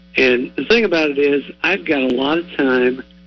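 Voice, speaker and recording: A man with a fairly high pitch talks with ordinary pitch variation. Noticeable background noise is present. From southwest Ohio (Warren County). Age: 60s. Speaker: retired TV sportscaster. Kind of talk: radio interview.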